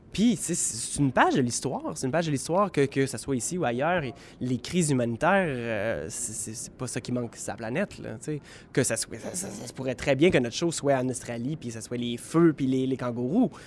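The man's intonation is lively at a medium pitch. He keeps a moderate pace while his loudness swings widely. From southwestern Ontario. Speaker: theatre creator. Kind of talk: interview. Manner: halting, many repetitions.

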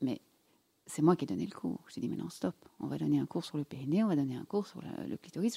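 This woman's voice has vocal fry and a dark, mellow tone. The sound is dry and close, with no echo. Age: 50s. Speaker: gynecologist and sexologist. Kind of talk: casual interview. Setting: studio.

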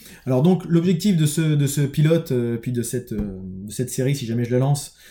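A man's intonation is lively, and music plays behind him. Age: 30s. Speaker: construction employee turning entrepreneur, vlogger. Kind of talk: personal video diary monologue. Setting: home office, recording alone on camera. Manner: halting, many hesitations and repetitions.

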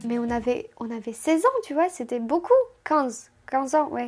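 A woman's high voice at a fairly slow pace, in a Romanian accent. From Moldova (Chisinau). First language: Romanian (speaking French). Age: 20s. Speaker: immigrant telling her life story. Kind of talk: casual chat.

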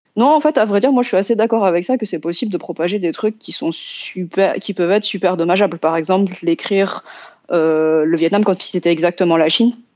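A woman talks in an ordinary speaking voice at a medium pitch. Her pace is fairly quick, and her pitch variation is ordinary. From France, Vietnamese diaspora family. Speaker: science fiction and fantasy author. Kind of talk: roundtable discussion.

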